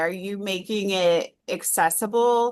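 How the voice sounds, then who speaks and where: A woman speaks against a quiet background. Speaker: state-level organization staff presenter. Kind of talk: training presentation.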